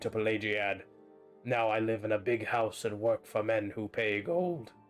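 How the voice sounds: A man does a gruff, put-on character voice at a medium pitch. He keeps a moderate pace while faint music plays in the background.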